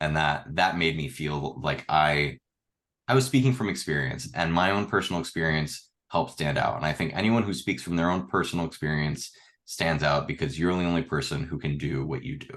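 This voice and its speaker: A man talks with a very deep, low pitch and vocal fry. The background is quiet. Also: lively intonation, fairly quick pace. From Miami suburbs. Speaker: filmmaker, former resident. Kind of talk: casual chat. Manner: animated.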